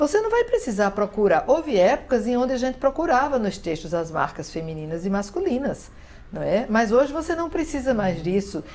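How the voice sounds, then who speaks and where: A woman talks at a fairly quick pace in a high voice that swings very widely in pitch. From Northeast Brazil, Paraíba. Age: 60s. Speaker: writer and literature professor. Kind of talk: interview. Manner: hesitant, many fillers.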